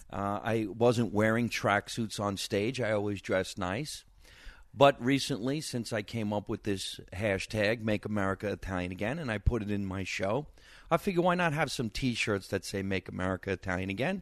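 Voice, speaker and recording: A man with a New Jersey accent and a fairly low pitch talks at a moderate pace with ordinary pitch variation, the sound dry and close with no echo and the background quiet. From New Jersey, Scotch Plains. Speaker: stand-up comedian. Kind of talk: casual interview chat.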